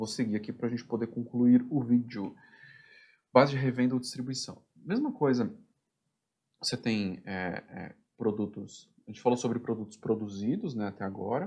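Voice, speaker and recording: With long, frequent pauses and big swings in loudness, a man speaks in a dark, mellow tone at a medium pitch with ordinary variation. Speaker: production planning instructor. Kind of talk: tutorial. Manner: fast.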